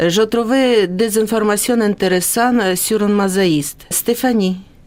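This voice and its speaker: With a slight Ukrainian accent, the speaker goes at a fairly slow pace with ordinary pitch variation over noticeable background noise. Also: woman, medium pitch for a woman, very even loudness. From Ukraine. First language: Ukrainian (speaking French). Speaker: former dentist, radio guest presenter. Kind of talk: radio interview. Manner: hesitant.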